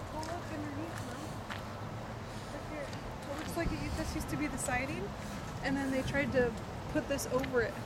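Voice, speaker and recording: A man talks at a moderate speed through loud background noise. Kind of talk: casual exploring commentary. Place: open country. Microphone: phone near.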